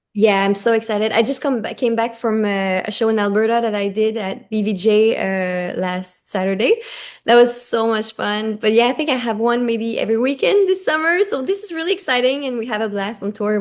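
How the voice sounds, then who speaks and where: Moderate pace from a woman, her voice fairly high and her pitch varying in an ordinary way. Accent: French Canadian. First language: French. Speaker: singer-songwriter. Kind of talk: interview.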